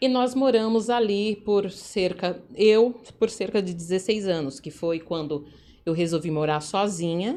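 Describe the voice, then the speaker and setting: A woman with a São Paulo accent talks at a fairly slow pace, her medium pitch carried by lively intonation. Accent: São Paulo Brazilian Portuguese. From São Paulo, Brazil (Jabaquara, south zone). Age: 40s. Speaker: entrepreneur in events business. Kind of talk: life story interview.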